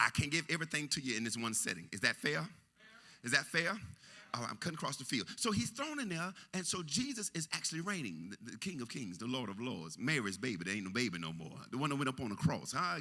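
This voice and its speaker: A man's medium-pitched, animated voice at a very fast pace, full of very wide pitch swings. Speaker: preacher. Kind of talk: sermon. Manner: animated, call and response.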